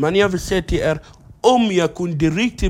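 A man's high-pitched voice moves at a moderate pace with ordinary pitch variation. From South Sudan, raised in Egypt. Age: 20s. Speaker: comedian. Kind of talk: casual chat. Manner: halting.

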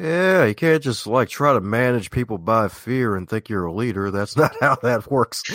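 Hardly pausing at all, a man speaks at a moderate pace and medium pitch with lively intonation and a slight Southern US accent. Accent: American with slight Southern twang. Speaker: self-help author and speaker. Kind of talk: interview. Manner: like a news broadcaster.

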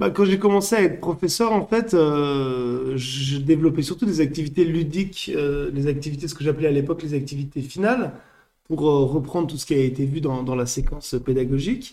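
Dark and mellow in tone, a man's fairly high voice moves at a fairly quick pace with ordinary pitch variation. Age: 30s. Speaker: French teacher and school coordinator. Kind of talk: casual interview. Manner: hesitant, with filler words.

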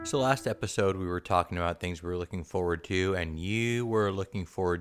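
Music plays in the background as a man speaks with an American accent. His pitch is very deep and low, his intonation fairly even. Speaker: podcast co-host. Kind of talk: casual chat. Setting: at home.

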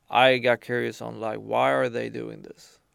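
A man with a very deep, low pitch speaks at a fairly slow pace with vocal fry and very wide pitch swings. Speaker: streetwear retail founder. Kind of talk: interview.

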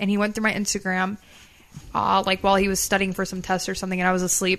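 A woman speaks with an American accent. Her pace is very fast. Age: 20s. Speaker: host's daughter, reality TV personality. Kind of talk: casual chat.

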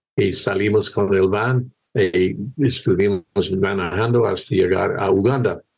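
With an English accent, a man speaks fairly slowly in a fairly low voice with fairly even intonation. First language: English (speaking Spanish). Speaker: missionary pastor. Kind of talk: testimony. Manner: halting.

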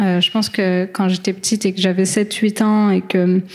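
The woman's intonation stays monotone and flat. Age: 20s. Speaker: football freestyler. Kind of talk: panel discussion.

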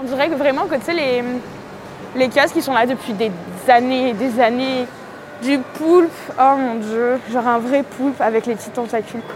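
Over noticeable background noise, a woman with a high pitch and ordinary pitch variation speaks at a moderate pace with long, frequent pauses. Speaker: travel vlogger. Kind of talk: casual vlog narration.

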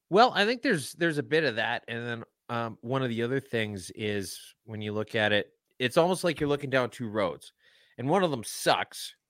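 A man talks at a moderate pace with lively intonation, in an unremarkable speaking voice. The recording is very clean, with a silent background. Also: medium pitch for a man, dry, close sound with no echo. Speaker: podcaster and tweeter. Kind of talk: casual interview chat. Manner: joking, sarcastic.

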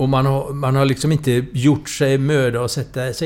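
A man at a moderate pace, his voice fairly high-pitched, an ordinary speaking voice. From Sweden, Gothenburg. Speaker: political scientist and author. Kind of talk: interview.

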